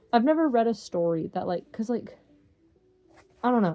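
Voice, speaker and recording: Music plays in the background as a woman speaks. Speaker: reads books aloud for an online channel. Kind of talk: reading aloud; casual chat. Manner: halting, stumbles over words.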